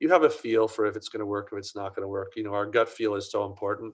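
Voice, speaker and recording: A man rattles along at a very fast pace while the background stays quiet. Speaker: print industry consultant. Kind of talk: Q&A answer; webinar presentation.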